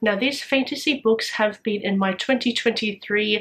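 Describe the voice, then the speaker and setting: With noticeable background noise behind her, a woman speaks at a moderate pace in a fairly high pitch and fairly even intonation. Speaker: booktuber. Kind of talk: casual vlog talk.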